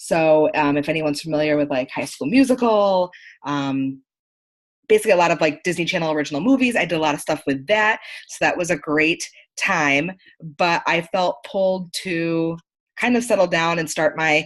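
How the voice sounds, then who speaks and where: A woman with an American accent has an unremarkable speaking voice, fairly low in pitch with ordinary variation. She keeps a moderate pace over a quiet background. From upstate New York. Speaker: marketing consultant. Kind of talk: online training presentation.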